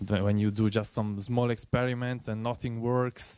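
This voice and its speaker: A man speaks in an Italian accent at a medium pitch and a moderate pace. His intonation is fairly even, and the sound is dry and close with no echo. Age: 20s. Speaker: iOS developer. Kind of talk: tech meetup presentation.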